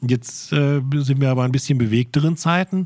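Here a man speaks at a fairly high pitch. His pace is moderate, with ordinary pitch variation. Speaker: podcast editor. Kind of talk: casual chat. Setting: warehouse.

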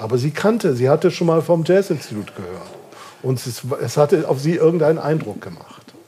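Amid noticeable background noise, a man with a fairly high pitch talks at a fairly quick pace, his intonation lively and his loudness swinging widely. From northern Germany, Kiel. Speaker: jazz musicologist, institute director. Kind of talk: interview before live audience. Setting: bar with live audience.

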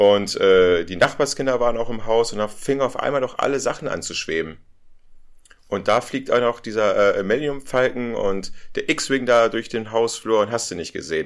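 A man with a normal speaking voice talks at medium pitch and a moderate pace, with ordinary pitch variation. The recording is very clean, the background silent. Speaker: podcast co-host, film fan. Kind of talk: casual chat. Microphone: poor audio, levels in the red.

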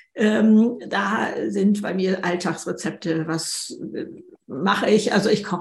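Speaking at a very slow pace, a woman with a medium pitch keeps a fairly even intonation over noticeable background noise and audible room echo. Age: 70s. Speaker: author. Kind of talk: podcast interview conversation.

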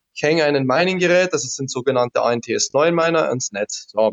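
A man speaks at a fairly high pitch with ordinary pitch variation. He has an ordinary speaking voice. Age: 30s. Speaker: crypto investor and technician. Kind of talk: interview.

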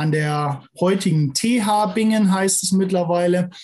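A man's high voice, fairly unhurried, its pitch varying in the usual way. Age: 40s. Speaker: agricultural milking-equipment adviser. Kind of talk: interview.

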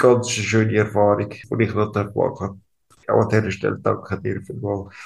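The delivery is monotone and flat, moving at a moderate pace with big swings in loudness. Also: man, fairly low pitch for a man. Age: 30s. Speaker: ALS patient. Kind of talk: interview. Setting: hospital room.

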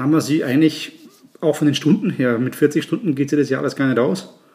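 At a fairly quick pace, a man with a fairly high pitch and fairly even intonation talks in an ordinary speaking voice. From Germany, Nuremberg (Franconia). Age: 50s. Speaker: chef and restaurant owner. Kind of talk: casual chat.

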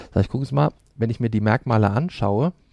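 A man's fairly low pitch and dark, mellow tone, with lively intonation at a fairly quick pace and a dry, close sound with no echo. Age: 40s. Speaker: profiler. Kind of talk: interview.

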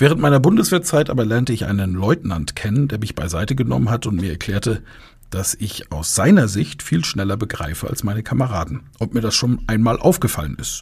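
A man with a fairly low, somewhat breathy voice talks at a fairly quick pace, his pitch swinging very widely. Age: 40s. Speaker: rhetoric trainer and podcast host. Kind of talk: live audio-room talk, moderated discussion. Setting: live social audio room.

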